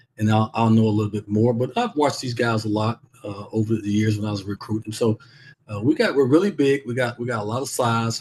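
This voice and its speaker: A man speaks at a medium pitch and a fairly quick pace. His voice is somewhat breathy. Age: 60s. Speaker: basketball coach and former NBA player. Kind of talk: interview. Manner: halting, repeats words.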